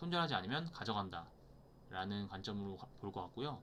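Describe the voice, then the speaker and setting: The voice has a bright, sharp tone. Its pitch swings very widely. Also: man. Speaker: stock market educator. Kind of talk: tutorial. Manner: fast.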